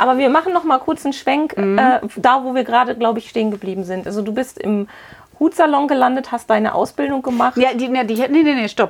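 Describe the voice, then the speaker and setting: Noticeable background noise sits behind a woman's high-pitched voice. She speaks at a very fast pace. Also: ordinary pitch variation. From Witten, Ruhr area, Germany. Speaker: podcast host, business coach. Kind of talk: interview. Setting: on location in a hat shop.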